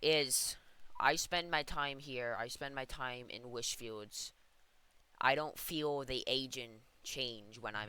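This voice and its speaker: In a very clean recording with a silent background, a man uses a put-on character voice at medium pitch and a fairly slow pace. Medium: game stream. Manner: hesitant, rambling.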